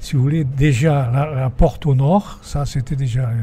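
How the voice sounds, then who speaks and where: A man speaks at a medium pitch. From Provence. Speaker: retired teacher, windmill restorer. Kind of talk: interview. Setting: inside a windmill. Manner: calm; hesitant.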